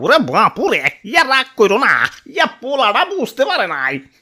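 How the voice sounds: A man puts on a cartoonish character voice, raised and projected at an extremely high pitch with very wide pitch swings. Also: moderate pace.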